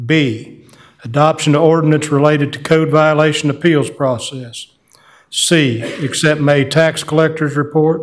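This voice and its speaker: The pace is moderate. A man speaks in a monotone, flat intonation. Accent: American. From US South. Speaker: mayor chairing town council meeting. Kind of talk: formal meeting proceedings. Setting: town council chamber. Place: meeting room.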